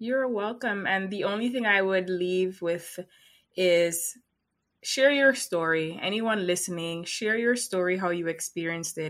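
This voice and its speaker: A woman has a plain, everyday voice at a medium pitch. She speaks at a fairly slow pace with ordinary pitch variation. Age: 30s. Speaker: hypnotherapist. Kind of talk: casual interview chat.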